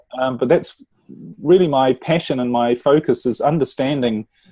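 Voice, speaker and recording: With a New Zealand accent, a man speaks at medium pitch and a moderate pace with lively intonation. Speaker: relationship coach. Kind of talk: interview podcast.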